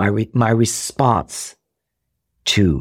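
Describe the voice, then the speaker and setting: On a very clean recording with a silent background and a dry, close sound with no echo, a man with an American accent talks in a fairly low voice with vocal fry. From Rhode Island, US. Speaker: actor and comedian. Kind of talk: casual interview, personal storytelling. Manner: animated.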